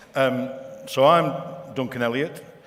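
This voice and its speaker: With audible room echo and noticeable background noise, a man talks at a very slow pace. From northern England, Wigan. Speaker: company managing director, conference speaker. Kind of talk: conference keynote speech. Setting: stage with audience. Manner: hesitant, many fillers.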